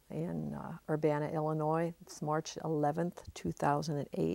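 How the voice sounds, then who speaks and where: A woman with a very deep, low pitch and a dark, mellow tone speaks with fairly even intonation in a dry sound with no echo. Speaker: oral history interviewer. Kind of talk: interview questions. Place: studio.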